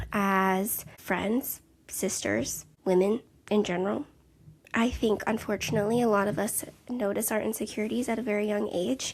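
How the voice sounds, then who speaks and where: A soft-spoken woman talks at a medium pitch with ordinary pitch variation. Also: moderate pace. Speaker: podcast host, counselor and mother. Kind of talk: casual solo podcast monologue. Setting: home, sitting on couch. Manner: chatty, tangential. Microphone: handheld mic held close to mouth.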